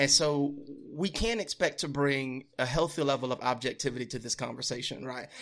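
A man's ordinary speaking voice, fairly high-pitched, with ordinary pitch variation, an American accent and a fairly quick pace. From Louisiana, US South. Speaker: podcast guest. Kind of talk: heated debate.

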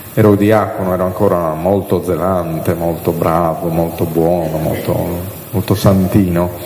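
The delivery moves at a fairly slow pace. Audible room echo and noticeable background noise surround it. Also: man. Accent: Sardinian. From Sardinia. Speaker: priest and liturgy lecturer. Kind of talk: catechesis lecture.

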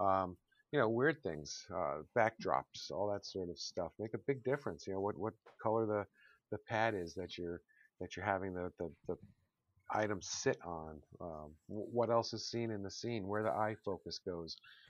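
An unremarkable speaking voice with an American accent, a moderate pace, and ordinary pitch variation, in a dry, close sound with no echo. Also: man, fairly low pitch for a man. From Connecticut, US. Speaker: podcast co-host. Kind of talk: casual chat. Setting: online recording session.

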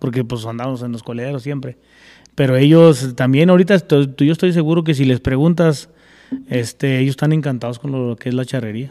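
The tone is dark and mellow. Speech moves at a fairly quick pace. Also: man. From Zacatecas, Mexico (near Fresnillo); moved young to California. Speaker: charro and horseman. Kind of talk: casual chat. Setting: at a home.

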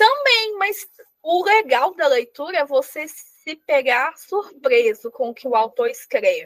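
A woman at an extremely high pitch, with very wide pitch swings and a fairly slow pace. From Minas Gerais, Brazil. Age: 20s. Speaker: novelist. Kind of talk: casual chat. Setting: studio.

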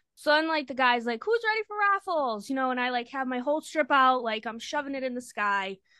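A woman with a Boston accent speaks at a fairly quick pace with hardly any pauses. Her voice sits high, with lively intonation. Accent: Boston area. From Massachusetts, Lynn. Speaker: friend of the hosts, concertgoer. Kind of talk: casual storytelling.

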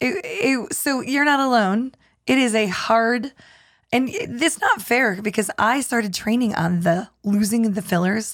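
In an unremarkable speaking voice, a woman talks at a fairly slow pace with a fairly high pitch, lively intonation and very even loudness, on a very clean recording with a silent background. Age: 50s. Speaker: communication skills trainer. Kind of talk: casual chat.

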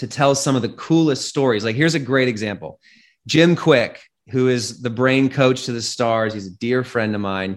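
A man with a normal speaking voice, medium pitch, ordinary pitch variation and an American accent, on a very clean recording with a silent background. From US Pacific Northwest, Seattle. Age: 30s. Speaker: tech entrepreneur. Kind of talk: interview conversation.

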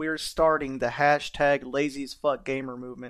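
A man's fairly high-pitched, monotone voice with flat intonation at a moderate pace. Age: 30s. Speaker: podcast host. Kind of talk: casual chat.

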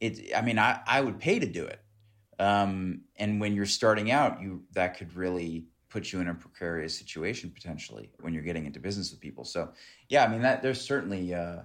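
A man speaks with a very deep, low pitch at a fairly quick pace. The recording is very clean, with a silent background. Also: big swings in loudness. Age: 30s. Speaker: documentary director. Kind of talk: interview.

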